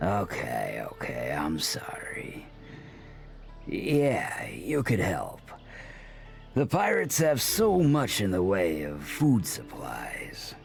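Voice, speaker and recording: A man puts on a character voice at a medium pitch, speaking at a very slow pace. Clear music plays in the background. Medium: video game. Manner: casual, cheeky.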